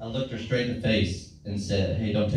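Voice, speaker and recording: At a fairly quick pace and with fairly even intonation, a man talks amid audible room echo and light background noise. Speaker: stand-up comedian. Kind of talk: stand-up comedy set. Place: stage.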